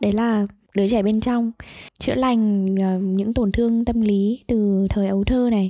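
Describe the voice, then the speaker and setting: With a dark, mellow tone and fairly high pitch, a woman talks at a fairly slow pace with fairly even intonation, recorded very cleanly against a silent background. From Vietnam, Hanoi. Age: 20s. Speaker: podcast co-host, psychology student. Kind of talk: casual chat.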